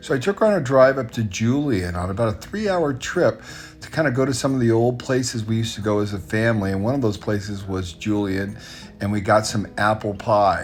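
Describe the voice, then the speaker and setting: A man at a fairly quick pace with music in the background. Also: medium pitch for a man, ordinary pitch variation. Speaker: entrepreneur. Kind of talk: casual talk to camera.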